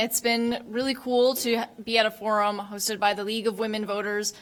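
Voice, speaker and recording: A woman with a fairly high pitch speaks in a monotone, flat intonation over noticeable background noise. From Japanese American. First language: not English. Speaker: political candidate. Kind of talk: candidate forum statement.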